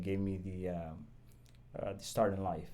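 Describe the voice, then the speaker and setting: In a Somali accent, a man with a very deep, low voice and a dark, mellow tone talks at a moderate pace, with audible room echo. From Somalia. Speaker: police sergeant and justice of the peace. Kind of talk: podcast interview. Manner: halting, many fillers.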